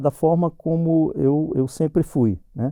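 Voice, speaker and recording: The man's fairly high-pitched voice has a dark, mellow tone and a dry, close sound with no echo. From Brazil, Northeast, Paraíba backlands. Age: 60s. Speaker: civil servant, engineer. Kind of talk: personal testimony interview. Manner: halting, many false starts.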